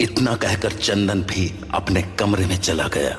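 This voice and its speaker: A man puts on a character voice with a very deep, low pitch over clear background noise. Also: moderate pace. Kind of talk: horror narration. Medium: audio drama. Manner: measured, suspenseful.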